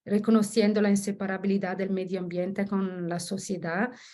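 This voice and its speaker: In an Italian accent, the speaker talks at a moderate pace in a dark, mellow tone with flat, monotone intonation over a quiet background. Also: woman. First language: Italian (speaking Spanish). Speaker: researcher. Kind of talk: academic presentation. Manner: halting, many self-corrections.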